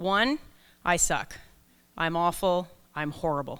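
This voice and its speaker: A woman speaks loudly at a medium pitch, with lively intonation and a bright, sharp tone, on a very clean recording with a silent background. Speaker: leadership coach and keynote speaker. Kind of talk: conference keynote talk. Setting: stage with audience, microphone.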